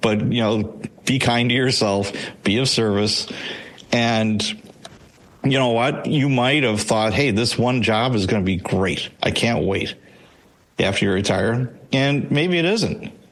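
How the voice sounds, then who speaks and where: With an American accent, a man at medium pitch speaks with lively intonation and very even loudness, leaving long, frequent pauses in a room with audible echo. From Chicago, US Midwest. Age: 60s. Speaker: retired police sergeant and author. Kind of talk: interview. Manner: casual, conversational.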